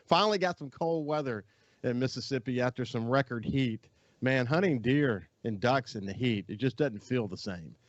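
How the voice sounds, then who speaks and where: A man speaks in an ordinary speaking voice at a moderate pace. His pitch is medium, and his intonation is lively. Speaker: radio outdoors show host. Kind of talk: radio show opening. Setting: studio. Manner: upbeat.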